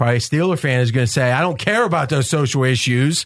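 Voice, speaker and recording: A man's voice with an American accent and ordinary pitch variation against a quiet background. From Ohio, near Pittsburgh. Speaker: sports betting podcast host. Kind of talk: casual sports talk.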